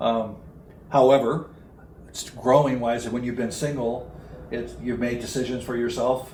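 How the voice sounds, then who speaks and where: There is audible room echo. A man talks at a moderate pace in a medium pitch. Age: 70s. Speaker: recovery speaker and retreat leader. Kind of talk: interview. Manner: halting.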